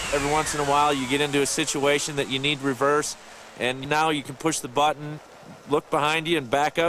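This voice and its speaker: With an American accent, a man with a fairly high pitch races along at a very fast pace in monotone, flat intonation over noticeable background noise. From Minnesota, US Upper Midwest. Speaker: snowmobile rider in a commercial testimonial. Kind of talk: product testimonial. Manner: casual with filler words.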